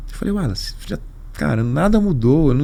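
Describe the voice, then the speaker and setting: Speaking at a fairly quick pace, a man uses lively intonation and a fairly high pitch with vocal fry. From São Paulo, Brazil. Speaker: carnival league executive. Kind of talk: podcast interview. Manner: animated storytelling.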